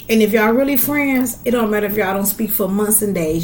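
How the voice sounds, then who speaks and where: Speaking at a fairly quick pace in an animated tone, a woman is heard with audible room echo. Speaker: podcast host. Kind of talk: casual chat.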